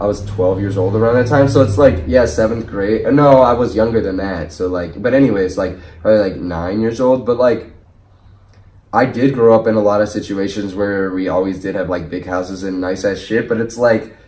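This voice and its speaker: Speaking at a fairly quick pace, a man with a fairly low pitch, a dark, mellow tone and ordinary pitch variation is heard with audible room echo. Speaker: artist and podcast host. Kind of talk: casual chat. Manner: loud; animated.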